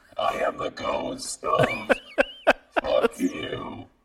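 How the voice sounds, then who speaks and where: A man uses a raspy put-on character voice. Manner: mock-dramatic, haunting.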